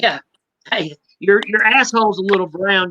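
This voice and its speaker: Someone with a Southern accent talks at a fairly quick pace. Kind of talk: casual chat. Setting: live stream.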